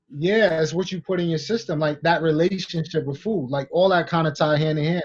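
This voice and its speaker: Here a man speaks very fast. His voice is fairly high in pitch. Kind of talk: casual podcast conversation. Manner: upbeat, joking.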